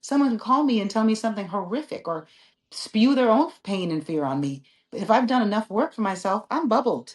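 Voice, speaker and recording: Against a quiet background, a woman talks fairly quickly in a somewhat breathy, fairly high voice with very wide pitch swings. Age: 50s. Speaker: author and relationship coach. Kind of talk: casual interview chat. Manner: animated.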